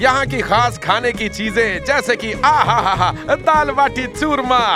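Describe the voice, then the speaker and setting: A man's raised, projected voice over music in the background. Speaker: storyteller. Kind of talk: folk tale narration. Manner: lively, expressive.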